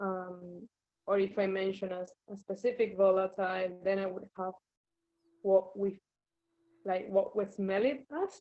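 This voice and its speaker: At a fairly slow pace, a woman with an Argentinian accent speaks at medium pitch in monotone, flat intonation, with long, frequent pauses. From Argentina. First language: Spanish. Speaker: wine fermentation scientist. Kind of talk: interview.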